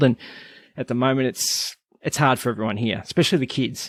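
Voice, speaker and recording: Someone with an Australian accent talks at a fairly quick pace, with ordinary pitch variation. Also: man. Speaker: podcast host. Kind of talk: casual interview chat; scripted intro.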